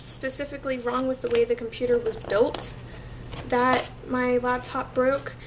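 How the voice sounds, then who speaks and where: With an American accent, a woman speaks at a high pitch and a moderate pace against noticeable background noise. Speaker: vlogger. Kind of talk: casual vlog update.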